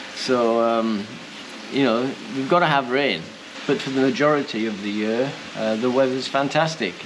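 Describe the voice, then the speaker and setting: A man with a British accent talks at a moderate pace and medium pitch with ordinary pitch variation and long, frequent pauses, amid noticeable background noise and audible room echo. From UK. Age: 70s. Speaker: retired chef and expat vlogger. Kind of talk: casual vlog talk. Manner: hesitant, many fillers.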